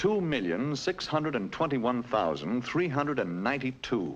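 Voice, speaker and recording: A man's medium-pitched voice with vocal fry and very wide pitch swings, at a moderate pace. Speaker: narrator. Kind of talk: educational cartoon narration. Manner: wry, conversational. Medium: cartoon.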